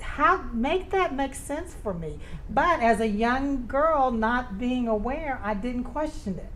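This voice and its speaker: A woman with an American accent speaks very slowly in a high voice with lively intonation, and the room echo is audible. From US South (Tennessee, Oklahoma). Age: 60s. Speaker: local party chair. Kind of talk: interview. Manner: halting.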